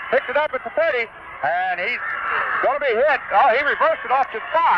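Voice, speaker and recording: A man with an extremely high-pitched voice speaks at a fairly quick pace, his pitch swinging very widely, over noticeable background noise. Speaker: radio play-by-play announcer. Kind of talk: live radio sports play-by-play. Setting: radio broadcast from a football stadium, 1978 recording. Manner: fast, excited, rapid-fire.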